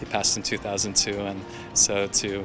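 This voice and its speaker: A man talks with a fairly low pitch. Music can be heard behind him. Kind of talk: interview answer.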